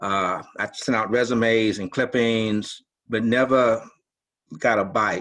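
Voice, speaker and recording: The man's voice has a bright, sharp tone. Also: very clean recording, silent background. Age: 60s. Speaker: newspaper columnist. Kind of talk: panel discussion.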